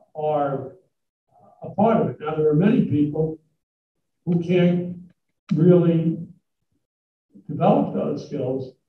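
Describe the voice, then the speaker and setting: Audible room echo surrounds this recording. A man speaks at a fairly high pitch. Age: 80s+. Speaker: business executive giving a talk. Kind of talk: talk with Q&A to students. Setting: college hall with live audience. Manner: halting, many fillers.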